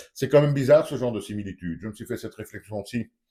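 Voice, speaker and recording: A man with a dark, mellow tone, vocal fry and lively intonation is heard in a very clean recording with a silent background. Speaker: YouTuber commentator. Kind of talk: opinion vlog monologue. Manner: animated, rhetorical questioning.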